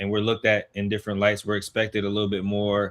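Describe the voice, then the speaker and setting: In a very clean recording with a silent background, a man with an American accent speaks at a fairly low pitch in a bright, sharp tone. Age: 20s. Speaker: youth sports organizer and mentor. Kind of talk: interview.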